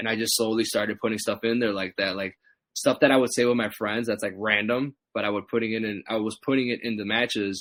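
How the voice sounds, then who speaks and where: With an American accent, a man talks at a very fast pace. His pitch is medium and his intonation fairly even. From Chicago area. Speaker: pro wrestler and powerlifter. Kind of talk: casual podcast interview.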